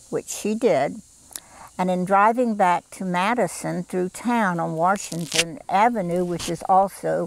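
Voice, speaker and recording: In a very clean recording with a silent background, a woman with a Southern US accent speaks at a fairly slow pace and medium pitch, with ordinary pitch variation. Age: 70s. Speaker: garden club volunteer. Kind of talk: interview. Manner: hesitant, with frequent fillers.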